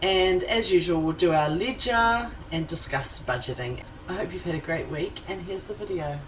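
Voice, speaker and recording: Over background music, a woman with a New Zealand accent speaks at a moderate pace and a fairly low pitch, her intonation lively and hardly any pauses in her speech. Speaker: mum vlogger. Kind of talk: casual talk to camera.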